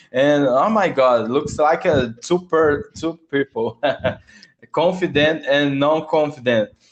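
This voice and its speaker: At a very slow pace, a man talks in a fairly high voice with ordinary pitch variation and very even loudness. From Brazil. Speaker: English learner. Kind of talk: casual chat. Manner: halting.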